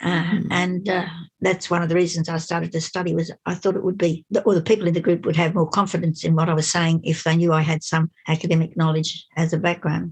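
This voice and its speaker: Speaking at a fairly quick pace with hardly any pauses, a woman with an Australian accent has a fairly low, somewhat breathy voice and monotone, flat intonation. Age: 80s+. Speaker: seniors' rights campaigner. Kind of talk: interview answer.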